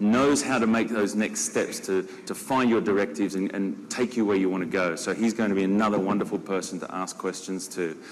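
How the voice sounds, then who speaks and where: Against noticeable background noise, a man speaks at a fairly quick pace in a fairly low pitch with ordinary pitch variation. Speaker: zookeeper, panel moderator. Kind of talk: panel moderation. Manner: enthusiastic.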